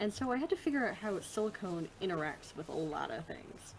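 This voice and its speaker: A woman's medium-pitched voice with an American accent and very wide pitch swings. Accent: Midwest US, slips in when relaxed. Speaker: podcast host and tabletop game master. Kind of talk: casual chat.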